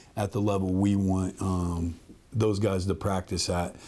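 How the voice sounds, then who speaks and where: Over faint music in the background, a man speaks in a monotone, flat intonation. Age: 40s. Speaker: college football head coach. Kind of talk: interview. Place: office.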